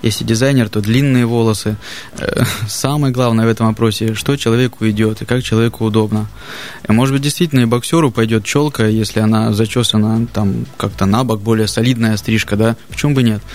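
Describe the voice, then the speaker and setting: Over music in the background, a man speaks at a fairly quick pace and medium pitch, with fairly even intonation and very even loudness. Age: 30s. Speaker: barber. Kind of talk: casual chat.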